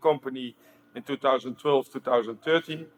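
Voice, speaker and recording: Speaking with a strong Dutch accent, a man keeps a monotone, flat intonation. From Netherlands. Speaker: stabilizer company owner, panelist. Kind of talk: panel introduction. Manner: halting.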